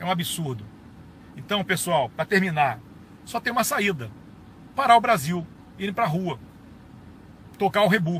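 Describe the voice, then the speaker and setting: With an animated tone, a man speaks high and with very wide pitch swings. He moves at a fairly slow pace, leaving long, frequent pauses. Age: 60s. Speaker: retired army colonel. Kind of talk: political video monologue.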